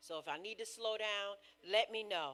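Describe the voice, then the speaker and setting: Fairly slow speech from a woman with an American accent. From US Northeast. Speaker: preacher. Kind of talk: sermon.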